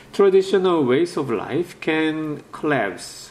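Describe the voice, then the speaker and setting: There is audible room echo around a man whose voice is fairly high in pitch. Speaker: professor. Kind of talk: lecture. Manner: halting.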